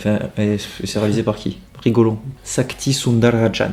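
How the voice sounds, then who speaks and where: A man with a medium pitch talks while noticeable background noise is present. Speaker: film critic youtuber. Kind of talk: casual chat. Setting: indoors at a host's home at night.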